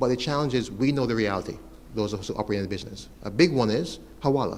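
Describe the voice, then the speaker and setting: Audible room echo surrounds a man talking at a very fast pace. His pitch is medium, with ordinary pitch variation. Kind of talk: conference presentation.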